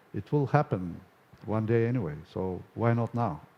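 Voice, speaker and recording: The voice carries a dark, mellow tone in a Bulgarian accent. Its intonation is lively. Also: man. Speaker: conference speaker, software testing company owner. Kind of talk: conference Q&A answer. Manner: hesitant, with fillers.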